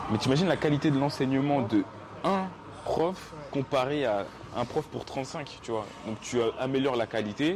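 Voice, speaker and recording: Against noticeable background noise, a man at a medium pitch speaks at a moderate pace with ordinary pitch variation. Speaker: podcast host. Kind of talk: casual chat.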